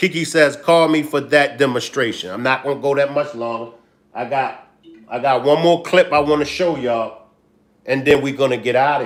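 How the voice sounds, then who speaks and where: Speaking in a Baltimore accent, a man uses a fairly high pitch with ordinary pitch variation at a moderate pace. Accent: Baltimore accent, noticeable. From Baltimore, US. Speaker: livestream commentator. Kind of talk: casual livestream commentary. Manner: animated.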